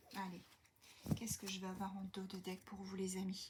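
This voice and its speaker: A soft-spoken woman talks at a moderate pace and medium pitch. Her voice is somewhat breathy. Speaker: tarot card reader. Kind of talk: tarot reading for viewers. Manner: hesitant, many fillers.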